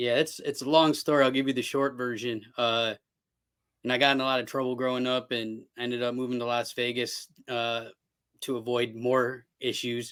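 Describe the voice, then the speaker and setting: A man with an American accent, medium-pitched and monotone with flat intonation, at a moderate pace, on a very clean recording with a silent background. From Cleveland, Ohio, US. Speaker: television producer. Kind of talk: casual chat. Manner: loud.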